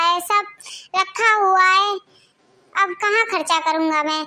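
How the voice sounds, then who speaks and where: In a cartoonish character voice, a woman speaks at a moderate pace. Her pitch is extremely high. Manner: plain, humble.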